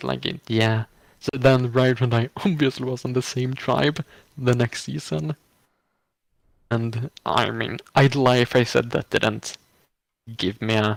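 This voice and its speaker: A man with a non-native accent, medium pitch and ordinary pitch variation, fairly slow with long, frequent pauses, in dry, close sound with no echo. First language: not English. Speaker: online reality game contestant. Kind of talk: casual chat. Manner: halting.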